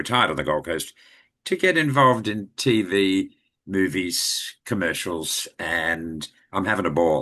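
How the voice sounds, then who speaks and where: Against a quiet background, a man with an Australian accent speaks in a bright, sharp tone at a fairly low pitch with lively intonation. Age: 70s. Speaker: retired actor and voiceover artist. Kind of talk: interview.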